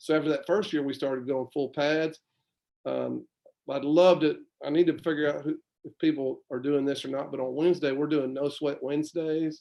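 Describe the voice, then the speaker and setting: A man with a fairly high pitch speaks in a monotone, flat intonation. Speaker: high school football head coach. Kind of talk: casual interview. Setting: livestream. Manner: fast.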